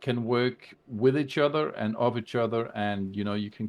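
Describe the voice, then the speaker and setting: A man's medium-pitched voice with a non-native accent, at a moderate pace. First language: not English. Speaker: video game streamer. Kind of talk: casual chat. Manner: halting, many fillers.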